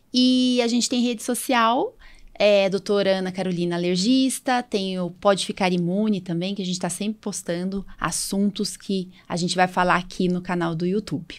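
Speaking at a moderate pace in a plain, everyday voice, a woman keeps to a medium pitch with ordinary pitch variation, recorded very cleanly against a silent background. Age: 40s. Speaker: allergist and podcast host. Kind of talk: casual chat.

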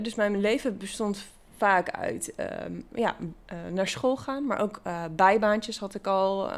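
The recording is very clean and the background silent. This woman's voice has a medium pitch and ordinary pitch variation. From Netherlands, Achterhoek (Gaanderen). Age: 30s. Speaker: brain injury survivor. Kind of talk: interview. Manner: halting.

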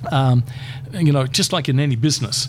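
A man with an Australian accent and a medium-pitched voice talks at a moderate pace with fairly even intonation over noticeable background noise. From Queensland, Australia. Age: 60s. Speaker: community chaplaincy leader. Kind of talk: interview.

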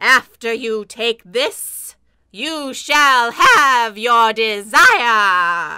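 A female-sounding voice performs a put-on character voice at a fairly high pitch. The pace is very slow. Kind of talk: comic spooky overacting. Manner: theatrical incantation, creepy.

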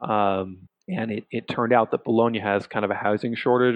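Fairly quick delivery with fairly even intonation and an American accent. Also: man. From San Francisco Bay Area, US. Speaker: podcast host. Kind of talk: casual chat. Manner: hesitant, many fillers.

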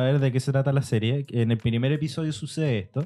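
Speaking at a fairly quick pace in a Chilean accent, a man keeps a medium pitch. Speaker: podcast co-host. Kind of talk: casual chat.

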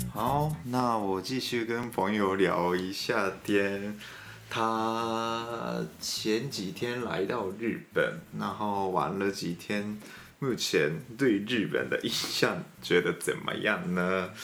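Over noticeable background noise and audible room echo, a man with a Japanese accent speaks very slowly in a fairly low voice. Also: ordinary pitch variation. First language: Japanese (speaking Chinese). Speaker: radio host. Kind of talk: casual chat.

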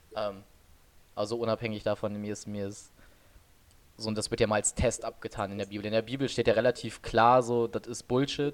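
A man's medium-pitched voice at a fairly quick pace, fairly even in intonation, broken by long, frequent pauses. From western Germany, Oberbergisches Land. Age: 20s. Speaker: podcast co-host. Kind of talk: casual chat. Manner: low-energy, calm.

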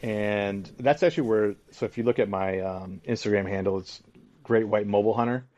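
A plain, everyday voice with an American accent, ordinary pitch variation and a moderate pace. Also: man, fairly low pitch for a man. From southwest Michigan. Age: 40s. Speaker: deer hunter. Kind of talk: casual interview.

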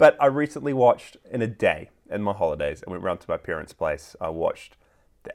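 A man with a New Zealand accent at a moderate pace. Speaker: podcast co-host. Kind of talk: casual chat.

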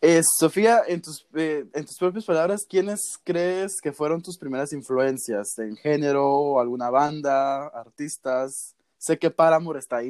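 A man with an ordinary speaking voice talks at a fairly slow pace with hardly any pauses, his fairly high pitch showing ordinary variation while his loudness swings widely. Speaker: podcast host. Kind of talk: casual interview. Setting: remote call.

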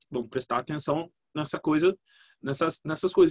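A man with an ordinary speaking voice and fairly high pitch talks at a fairly quick pace, the sound dry and close with no echo. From Brazil, Espírito Santo (Vitória). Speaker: marketing consultant and podcaster. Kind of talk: casual interview. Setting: video call.

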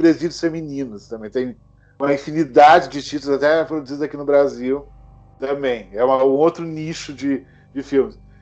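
With music in the background, a man's intonation stays fairly even. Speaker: horror film YouTuber. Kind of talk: casual chat. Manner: halting, repeats words.

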